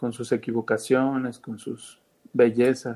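The man speaks at a medium pitch. His pace is fairly slow. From Mexico, Veracruz. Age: 40s. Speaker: film director. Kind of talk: casual interview chat. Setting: call with cameras off. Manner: halting, many fillers.

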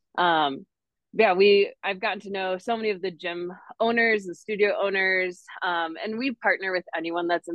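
Here a woman with an unremarkable speaking voice talks at a moderate pace with ordinary pitch variation. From northern Wisconsin, US. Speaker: fitness community business founder. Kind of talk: casual interview.

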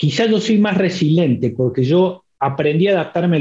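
A man's fairly high voice with a dark, mellow tone, a moderate pace and ordinary pitch variation. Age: 40s. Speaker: university program director. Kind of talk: interview.

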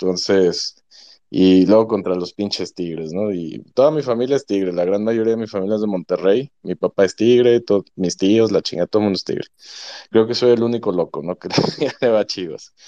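A man speaks at a moderate pace in a fairly low voice, with ordinary pitch variation and a dry, close sound that has no echo. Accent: Mexican. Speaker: football analyst fan. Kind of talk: casual chat.

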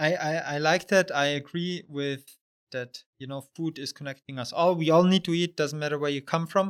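Speaking at a moderate pace in a German accent, a man has a fairly high pitch and fairly even intonation. His loudness swings widely. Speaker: podcast host. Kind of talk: podcast interview. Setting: in-person recording.

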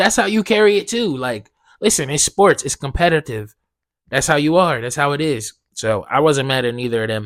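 A man's fairly high-pitched, animated voice with lively intonation, moderate pace and a dry, close sound with no echo. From US Northeast (South Jersey). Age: 20s. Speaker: podcast host. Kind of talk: casual solo monologue.

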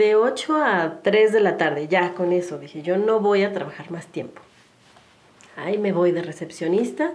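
A woman talks at a fairly slow pace, with medium pitch and ordinary pitch variation. Audible room echo and noticeable background noise surround her voice. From Mexico City. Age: 40s. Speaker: human development consultant and yoga instructor. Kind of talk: casual interview.

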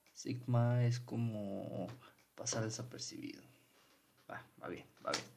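A man at a medium pitch speaks very slowly in a flat monotone, with long, frequent pauses and audible room echo. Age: 20s. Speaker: podcast host. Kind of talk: casual monologue.

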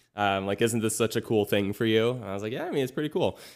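Captured in a very clean recording with a silent background, a man talks at a fairly low pitch with ordinary pitch variation. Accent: Californian. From US West Coast, Los Angeles area. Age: 20s. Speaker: singer-songwriter and YouTuber. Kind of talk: casual interview chat. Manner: halting, many fillers and restarts.

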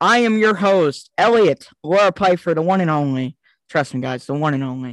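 Loud and high-pitched, a man speaks at a moderate pace with lively intonation. The sound is dry and close, with no echo. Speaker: podcast host. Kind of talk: casual chat.

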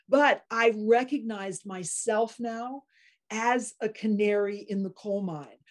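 A woman with a fairly high pitch and ordinary pitch variation talks at a very slow pace. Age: 60s. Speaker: podcast host, optometrist. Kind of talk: interview.

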